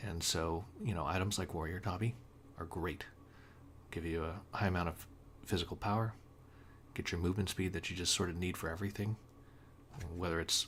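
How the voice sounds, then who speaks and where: A quiet man with a very deep, low pitch and fairly even intonation, with long, frequent pauses. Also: fairly quick pace. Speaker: gaming guide reviewer. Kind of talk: unscripted tutorial. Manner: halting with many fillers.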